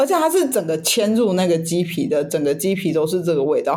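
A woman speaks with a Taiwanese accent at a medium pitch. Her intonation is lively. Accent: Taiwanese Mandarin. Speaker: podcast co-host. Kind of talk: casual chat.

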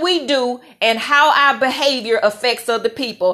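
Loud and high-pitched, a woman speaks with ordinary pitch variation. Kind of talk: faith-based talk to camera. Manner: loud, assertive.

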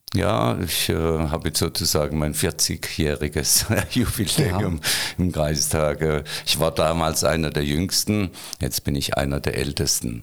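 Over noticeable background noise, the voice moves at a fairly slow pace with very even loudness and ordinary pitch variation. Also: man, very deep, low pitch for a man. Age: 60s. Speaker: retired mayor. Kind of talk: casual interview.

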